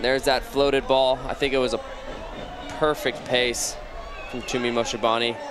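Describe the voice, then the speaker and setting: A man talks at a moderate pace in a medium pitch, his intonation monotone and flat. He leaves long, frequent pauses, and noticeable background noise runs underneath. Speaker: color commentator. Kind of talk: live match commentary with analysis. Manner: conversational, explanatory, fairly measured with some filler.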